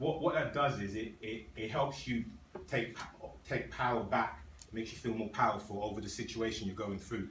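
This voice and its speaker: Against noticeable background noise, a man talks at a fairly quick pace, his pitch medium and his pitch variation ordinary. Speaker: Toastmasters club speaker. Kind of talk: public speech to club audience. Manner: fast.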